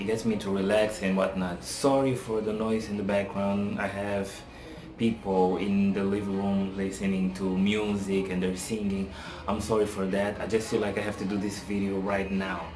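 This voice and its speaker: A man with a non-native accent talks at a moderate pace, his fairly low voice flat and monotone. The recording has audible room echo and noticeable background noise. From Africa. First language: not English. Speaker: TV reality show reviewer. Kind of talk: casual vlog commentary. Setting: apartment, home video. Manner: casual, hesitant with fillers.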